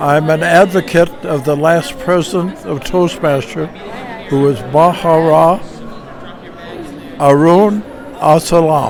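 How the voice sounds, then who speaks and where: Amid noticeable background noise and audible room echo, a man with a fairly high pitch speaks at a very slow pace, with ordinary pitch variation and long, frequent pauses. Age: 80s+. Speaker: public speaking club member. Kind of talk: interview.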